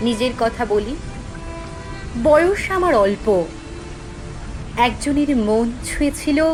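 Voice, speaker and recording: Music plays behind a woman with a high pitch. Her intonation is lively. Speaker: poetry reciter. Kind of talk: poetry reading.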